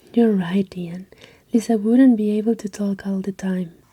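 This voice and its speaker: Whispering and soft-spoken, the speaker goes at a fairly slow pace with a non-native accent. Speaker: ASMR creator. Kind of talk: ASMR story reading. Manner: soft-spoken, whispery.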